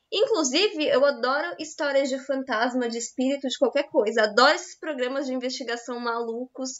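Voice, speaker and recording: A woman's high-pitched voice at a fairly quick pace, with ordinary pitch variation and hardly any pauses. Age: 20s. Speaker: podcast co-host. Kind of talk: casual chat.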